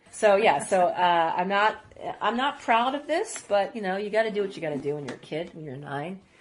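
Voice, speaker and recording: A woman with a medium-pitched voice talks at a fairly quick pace. Her pitch swings very widely, and her loudness rises and falls sharply. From Lexington, Kentucky, after early childhood in Iraq. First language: Arabic. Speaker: editor, producer and writer. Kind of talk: interview. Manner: halting, many restarts and fillers.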